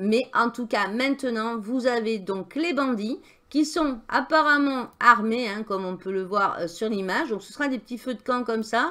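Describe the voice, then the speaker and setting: A woman speaks fairly slowly at a fairly high pitch, her tone bright and sharp. Her pitch varies in an ordinary way, her loudness swings widely, and the recording is very clean with a silent background. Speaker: gaming YouTuber and streamer. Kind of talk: game news commentary. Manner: hesitant, many filler sounds.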